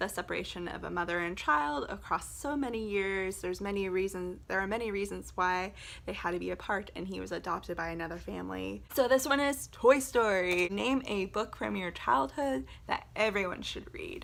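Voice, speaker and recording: With an American accent, a woman talks at a moderate pace. Pauses are hardly there. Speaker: book video creator. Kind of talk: casual vlog talk. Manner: animated.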